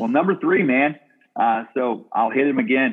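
The intonation of this man is lively. He keeps to a moderate pace. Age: 40s. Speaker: youth pastor. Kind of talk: casual chat. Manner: animated.

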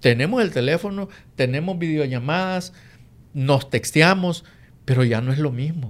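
A man with a fairly high voice speaks at a fairly slow pace, with ordinary pitch variation. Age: 50s. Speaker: real estate investor and co-host. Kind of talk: casual chat.

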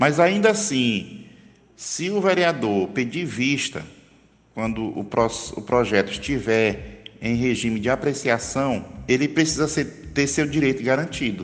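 At a fairly slow pace, a man talks in a medium pitch with very wide pitch swings. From Brazil, Northeast (Pedra, Pernambuco area). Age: 50s. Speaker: former city councillor and accountant. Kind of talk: interview. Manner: formal.

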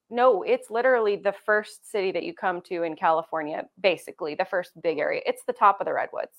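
A woman talks with a Pacific Northwest accent. Her pace is fairly quick, with hardly any pauses. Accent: Pacific Northwest American. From Eastern Oregon (Cove, La Grande). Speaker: real estate agent. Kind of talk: casual chat.

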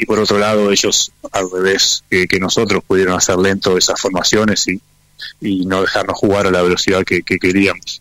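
The speech moves at a moderate pace with very even loudness and a monotone, flat intonation. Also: man, fairly low pitch for a man. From Necochea, Argentina. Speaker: professional rugby player. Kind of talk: interview.

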